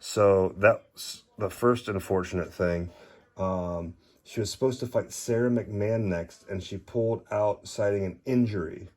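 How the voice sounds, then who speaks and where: This man mumbles in a fairly low pitch with fairly even intonation, on a very clean recording with a silent background. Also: fairly slow pace. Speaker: trading card collector. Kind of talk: casual card haul review. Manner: mumbling; halting.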